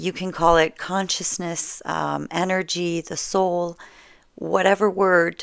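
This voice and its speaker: A woman with a French Canadian accent speaks very slowly at a fairly low pitch, her intonation monotone and flat. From French Canada. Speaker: storyteller. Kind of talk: casual talk to camera. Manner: relaxed, conversational, with hesitations.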